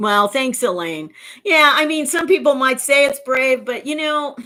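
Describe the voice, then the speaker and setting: A woman with an American accent speaks in a raised, projected voice at a high pitch. Her pace is moderate and her intonation lively. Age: 60s. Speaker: YouTuber. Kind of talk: livestream Q&A chat. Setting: livestream reading chat. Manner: halting.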